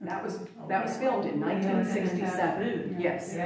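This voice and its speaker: A woman talks at a moderate pace with a fairly low pitch. Audible room echo and noticeable background noise surround her voice. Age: 60s. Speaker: guest speaker, master gardener. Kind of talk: presentation with audience Q&A.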